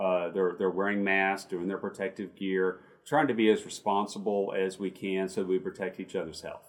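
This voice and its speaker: This man has an ordinary speaking voice, fairly low in pitch, with fairly even intonation at a moderate pace. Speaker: chamber of commerce CEO, podcast host. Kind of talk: interview chat. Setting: video call.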